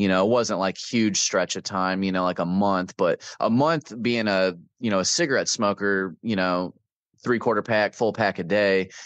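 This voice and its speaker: In a Midwestern American accent, a man speaks at fairly low pitch and a moderate pace with ordinary pitch variation. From Davenport, Iowa. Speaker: army veteran. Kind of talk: interview answer. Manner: casual, candid, with humor.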